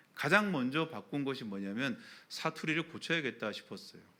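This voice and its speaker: A bright, sharp tone with very wide pitch swings. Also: man. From Daegu, Gyeongsang, South Korea. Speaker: pastor. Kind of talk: sermon.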